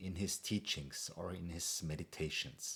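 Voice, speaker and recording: A man speaks with an Austrian accent. His pace is very slow. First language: German. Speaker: meditation coach. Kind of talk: casual talk to camera. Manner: hesitant, with fillers.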